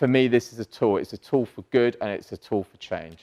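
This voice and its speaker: A man with a British accent and fairly even intonation, in dry, close sound with no echo. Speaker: entrepreneur, conference speaker. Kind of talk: conference panel talk.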